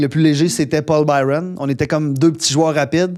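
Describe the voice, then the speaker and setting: A man talks at a fairly quick pace in an ordinary speaking voice. His pitch is fairly high, with fairly even intonation. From Quebec, Gaspésie. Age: 30s. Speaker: podcast host. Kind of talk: casual chat.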